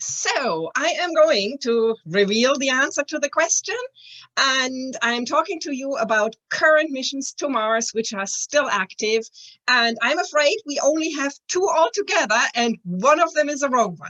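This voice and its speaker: A woman with a German accent speaks at a fairly slow pace with a high pitch, lively intonation, and a bright, sharp tone, in a dry, close sound with no echo. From Germany. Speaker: planetary scientist. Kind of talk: presentation.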